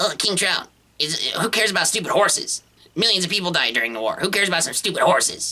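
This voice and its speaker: Putting on a character voice, a man talks very fast at a high pitch. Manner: mocking.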